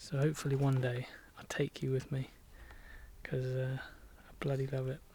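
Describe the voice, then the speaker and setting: A man with an English accent speaks at a moderate pace in a somewhat breathy, dark, mellow, medium-pitched monotone, with long, frequent pauses and big swings in loudness. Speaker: vlogger doing barn renovation. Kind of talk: casual vlog talk while working.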